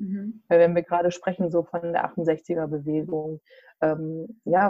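Pitched fairly low, a woman with a normal speaking voice shows ordinary pitch variation. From central Hesse, Germany. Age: 40s. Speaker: association chairwoman. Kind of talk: interview. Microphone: bad connection.

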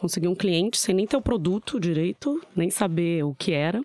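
A woman with a plain, everyday voice at medium pitch, lively intonation and a moderate pace, on a very clean recording with a silent background. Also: dry, close sound with no echo. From São Paulo, Brazil (born in southern Minas Gerais). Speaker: tech company business professional. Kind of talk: casual interview chat.

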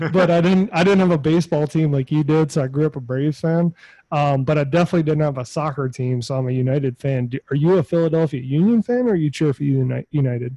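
This man talks very fast with hardly any pauses, in a fairly high pitch with ordinary variation. His tone is dark, mellow and somewhat breathy, and the sound is dry and close with no echo. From New Orleans. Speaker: podcast host. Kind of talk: casual chat / interview.

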